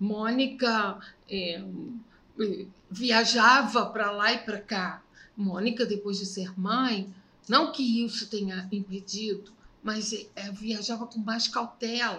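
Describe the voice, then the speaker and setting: A woman's bright, sharp voice, fairly high in pitch, fairly even in intonation, very slow, with long, frequent pauses. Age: 60s. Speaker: podcast host's mother. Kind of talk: casual chat.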